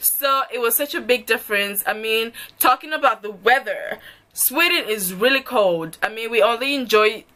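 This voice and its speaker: A woman with a Zimbabwean accent speaks at a fairly slow pace in a fairly high pitch. Her tone is animated and her intonation lively. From Zimbabwe, Kadoma. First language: Shona. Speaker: vlogger. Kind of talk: casual vlog, Q&A tag.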